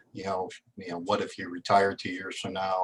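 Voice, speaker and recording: At a fairly quick pace, a man uses an ordinary speaking voice pitched fairly low. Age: 60s. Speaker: participant, job seeker. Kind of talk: question from audience.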